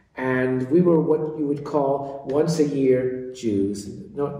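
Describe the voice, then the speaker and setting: An American-accented man with a medium pitch speaks at a fairly slow pace, with audible room echo and noticeable background noise. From US East Coast. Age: 60s. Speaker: interfaith network founder. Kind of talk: interview. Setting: office.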